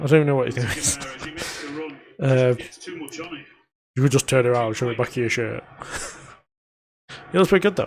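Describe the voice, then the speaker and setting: With a Yorkshire accent, a man of medium pitch talks at a fairly quick pace but leaves long, frequent pauses. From northern England, Sheffield. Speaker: football fan streamer. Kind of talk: live watch-along commentary. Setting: live stream at home. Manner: low-energy, unenthusiastic.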